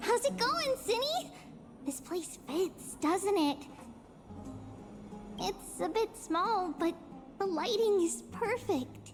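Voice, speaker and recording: In a put-on character voice, a woman speaks at an extremely high pitch and a very slow pace. Clear background noise can be heard. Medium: game stream. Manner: lively, refers to self as 'we'.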